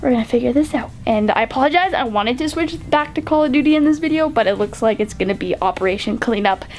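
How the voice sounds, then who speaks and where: Very fast speech with lively intonation over noticeable background noise. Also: woman, high pitch for a woman. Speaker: gaming vlogger. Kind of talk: casual vlog.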